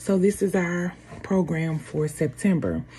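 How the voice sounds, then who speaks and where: A woman's fairly low-pitched, somewhat breathy voice with a dark, mellow tone, ordinary pitch variation, and a fairly slow pace. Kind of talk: program introduction. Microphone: phone near.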